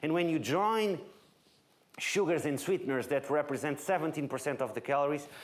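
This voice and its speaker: A man with a Portuguese accent, fairly high pitch and ordinary pitch variation, with audible room echo. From Portugal, Lisbon. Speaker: nutrition researcher. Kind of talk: lecture.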